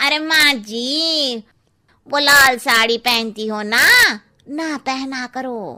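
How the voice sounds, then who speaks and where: Putting on a cartoonish character voice, a woman speaks at a high pitch and a very slow pace. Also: ordinary pitch variation. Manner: cheeky, familiar.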